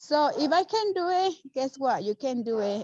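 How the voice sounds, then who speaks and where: Her tone is dark and mellow. The woman talks with a non-native accent. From Mexico. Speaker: real estate investor. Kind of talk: video call interview. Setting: video call.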